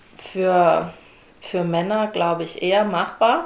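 A woman's medium-pitched voice stays monotone and flat. Noticeable background noise and audible room echo surround her. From Germany, Swabia (Herrenberg). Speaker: CrossFit athlete. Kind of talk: interview.

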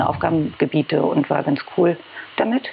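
A woman speaks at a fairly low pitch. Noticeable background noise can be heard. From Berlin. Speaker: head of press and public relations. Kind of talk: casual interview chat.

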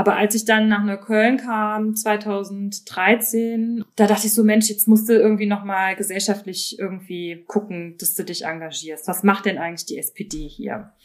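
A woman in a normal speaking voice talks at a fairly slow pace with hardly any pauses, her medium pitch and fairly even intonation set against big swings in loudness. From Mosel region, Germany. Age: 30s. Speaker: local political candidate and historian. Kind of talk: casual interview.

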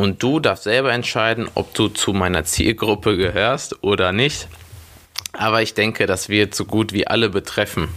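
With a normal speaking voice, a man talks at a moderate pace in a fairly low pitch, with ordinary pitch variation and very even loudness. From Germany, Schwelm near Wuppertal. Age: 20s. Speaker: personal trainer and gym owner. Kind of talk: solo podcast monologue.

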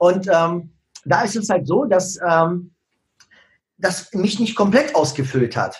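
A man with a non-native accent speaks at a fairly slow pace. His pitch is high. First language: not German (speaking German). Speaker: social media marketing coach. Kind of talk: podcast interview.

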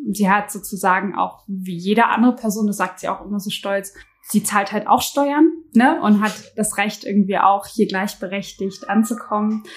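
A woman talks at a moderate pace in a medium pitch with ordinary pitch variation. Her voice is somewhat breathy. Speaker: podcast co-host. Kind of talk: conversational discussion. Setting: home kitchen with open window.

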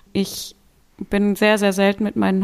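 A woman's unremarkable speaking voice at medium pitch and a moderate pace. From western Germany (Solingen, North Rhine-Westphalia). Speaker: dog food company owner and rescue dog handler. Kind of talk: casual interview.

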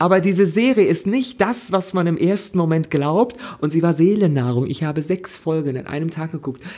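At a moderate pace, a man with a high pitch speaks in an animated tone with lively intonation. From Germany. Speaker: podcast co-host. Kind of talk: casual chat.

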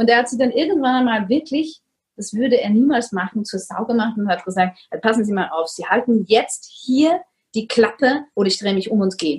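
With lively intonation and a somewhat breathy quality, a woman speaks at a fairly quick pace in a fairly high pitch. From Vienna, Austria. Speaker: coach on narcissistic abuse. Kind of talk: interview.

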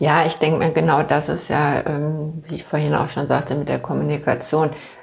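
A woman speaks at a moderate pace in a very deep, low voice. Vocal fry runs through her words. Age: 50s. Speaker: patient with multiple sclerosis. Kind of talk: casual interview. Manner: halting, many fillers.

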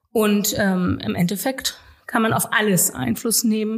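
With ordinary pitch variation, the woman has an unremarkable speaking voice. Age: 40s. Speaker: local politician. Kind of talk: interview conversation.

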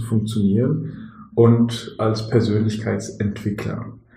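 Speaking at a very slow pace, a man keeps to a medium pitch. Audible room echo and noticeable background noise fill the recording. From Germany, Bonn area, partly raised in Morocco. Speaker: business team coach and father of five. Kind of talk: casual interview. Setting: at a dining table at home.

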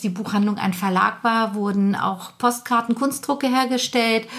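In a normal speaking voice, a woman talks at a fairly slow pace with fairly high pitch and fairly even intonation. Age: 50s. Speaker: bookshop owner. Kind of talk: casual interview.

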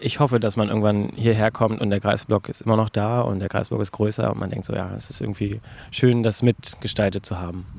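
This man has an unremarkable speaking voice. It sits fairly low in pitch, with fairly even intonation. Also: fairly quick pace. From Greifswald, northeastern Germany. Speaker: volunteer bouldering gym builder. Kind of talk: interview. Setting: bouldering gym in old garage.

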